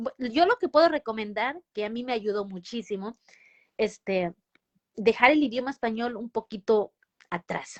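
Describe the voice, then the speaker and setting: A woman with a high-pitched voice talks at a moderate pace in a dry, close sound with no echo. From Mexico. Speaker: nurse. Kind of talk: interview. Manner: halting, many false starts and fillers.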